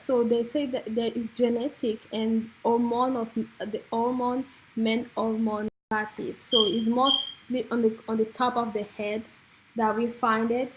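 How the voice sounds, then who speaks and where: A woman with a French accent speaks at a fairly slow pace. Her fairly high voice has monotone, flat intonation. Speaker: beauty and hair vlogger. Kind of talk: informal explainer. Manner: halting.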